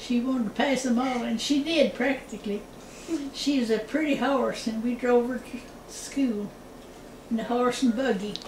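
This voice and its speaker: Fairly even intonation at a moderate pace, over noticeable background noise. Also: woman, high pitch for a woman. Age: 80s+. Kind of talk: interview answer. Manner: casual, storytelling.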